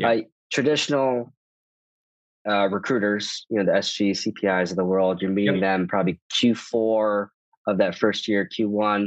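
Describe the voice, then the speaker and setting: Against a quiet background with a dry, close sound and no echo, a man with a plain, everyday voice speaks at a moderate pace, his fairly low pitch showing ordinary pitch variation. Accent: American. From US Midwest, Chicago suburbs. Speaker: private equity partner. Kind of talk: interview.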